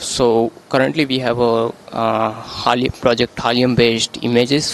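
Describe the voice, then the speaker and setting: Monotone, flat delivery in an Indian accent, with a dry sound, no echo and light background noise. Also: man. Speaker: software developer. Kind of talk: interview. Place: hall. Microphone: handheld.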